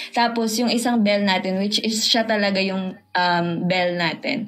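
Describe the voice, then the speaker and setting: A woman's medium-pitched voice with lively intonation at a fairly slow pace, against noticeable background noise. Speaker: poet and podcast guest. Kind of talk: casual chat.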